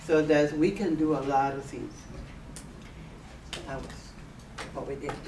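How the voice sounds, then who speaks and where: Audible room echo surrounds a woman with a very deep, low pitch who speaks in a Spanish accent. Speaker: radio host. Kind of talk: interview.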